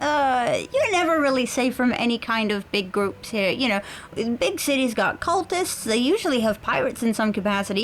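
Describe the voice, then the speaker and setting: Over clear background noise, a woman puts on a squeaky character voice at a high pitch. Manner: casual, chatty.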